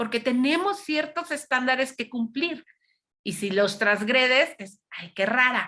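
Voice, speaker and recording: With very wide pitch swings, a woman talks at a fairly slow pace in a high, bright, sharp voice. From Mexico City. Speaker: psychologist and lecturer. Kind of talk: lecture. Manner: loud.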